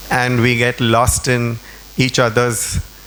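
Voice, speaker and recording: Over noticeable background noise, a man speaks very slowly at a medium pitch, with monotone, flat intonation. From India. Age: 70s. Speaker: interior designer and art collector. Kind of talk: public conversation.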